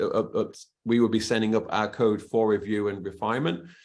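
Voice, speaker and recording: With a British accent, a man delivers his words at a fairly quick pace. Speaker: cybersecurity expert, webinar panelist. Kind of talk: webinar panel Q&A. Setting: online webinar. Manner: hesitant, many restarts and fillers.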